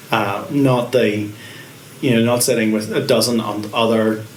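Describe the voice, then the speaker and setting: A man with a Northern Irish accent talks at a fairly slow pace and a medium pitch. Noticeable background noise and audible room echo are present. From Northern Ireland, Carrickfergus, Co. Antrim. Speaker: pastor. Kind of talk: interview. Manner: halting.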